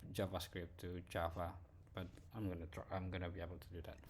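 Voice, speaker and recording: With a non-native accent, a man talks at a fairly quick pace in a very deep, low pitch, his somewhat breathy delivery keeping a fairly even intonation. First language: not English. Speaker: programmer showing work progress. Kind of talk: screen-share progress report. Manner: halting, many fillers.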